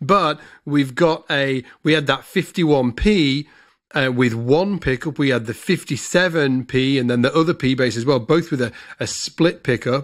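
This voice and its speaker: A man with a British accent, fairly high in pitch, at a fairly slow pace with ordinary pitch variation, over a quiet background. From UK. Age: 40s. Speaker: bass player and podcast host; podcast host. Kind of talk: casual chat. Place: home room. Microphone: studio mic.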